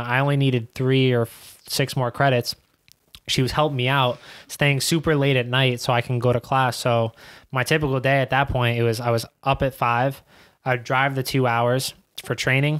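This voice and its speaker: A man with a New York accent speaks at a medium pitch in a flat monotone, his loudness very even against a quiet background. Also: moderate pace. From Queens, New York. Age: 20s. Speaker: professional soccer player; podcast guest. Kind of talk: casual interview. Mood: relaxed, reflective. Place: studio. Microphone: studio mic.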